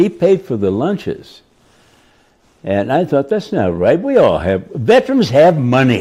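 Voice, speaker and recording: Speaking at a fairly slow pace, a man with an American accent uses a fairly high pitch and very wide pitch swings, his tone dark and mellow with vocal fry. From Detroit. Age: 80s+. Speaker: war veteran. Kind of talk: interview answer.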